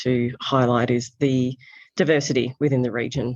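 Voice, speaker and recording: A woman with an Australian accent speaks in a calm tone. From Australia, south coast. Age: 40s. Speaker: magazine founder and editor. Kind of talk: interview.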